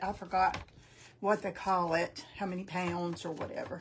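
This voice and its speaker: This is a woman's voice. She speaks in a North Carolina accent. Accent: North Carolina Southern. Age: 60s. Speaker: craft tutorial host. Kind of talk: live craft tutorial. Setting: Facebook and YouTube livestream. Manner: casual, chatty.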